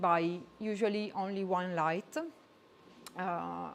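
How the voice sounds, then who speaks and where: A woman speaks with an Italian accent. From Italy. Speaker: photographer. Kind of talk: presentation. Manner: halting.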